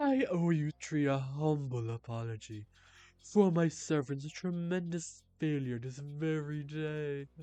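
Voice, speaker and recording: A woman uses a put-on character voice with a very deep, low pitch. She speaks at a fairly slow pace. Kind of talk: grandiose archaic speech. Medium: game stream. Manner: lofty, formal.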